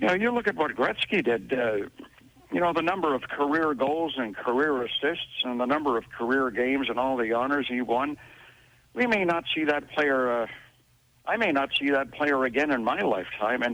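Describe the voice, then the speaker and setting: An ordinary speaking voice at a moderate pace, lively intonation and very even loudness. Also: man, fairly high pitch for a man. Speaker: arena PA announcer for a professional hockey team. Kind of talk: radio interview answer.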